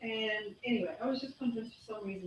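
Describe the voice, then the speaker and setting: A woman with a South African accent at a very fast pace. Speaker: health speaker. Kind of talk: talk to a live audience.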